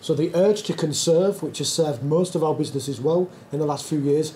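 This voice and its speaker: In a northern English accent, a man with a fairly high pitch speaks at a fairly quick pace and a fairly even intonation, with noticeable background noise and audible room echo. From northern England, Yorkshire. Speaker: conference speaker, tech company founder. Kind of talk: conference talk. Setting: stage with audience, filmed.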